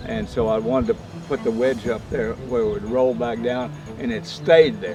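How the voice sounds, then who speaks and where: Over music in the background, a man with an American accent talks at a moderate pace. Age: 80s+. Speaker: retired pro golfer, Masters champion. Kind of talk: interview answer.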